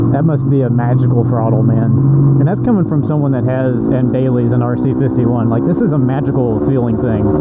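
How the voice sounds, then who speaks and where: A man talks at a fairly quick pace with very even loudness, amid noticeable background noise. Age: 20s. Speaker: motorcycle YouTuber. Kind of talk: casual vlog while riding. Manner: animated.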